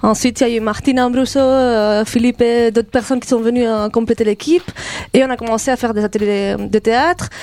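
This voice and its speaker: In a normal speaking voice, a woman talks at a fairly quick pace with fairly even intonation and a fairly high pitch. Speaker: theatre director. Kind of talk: radio interview.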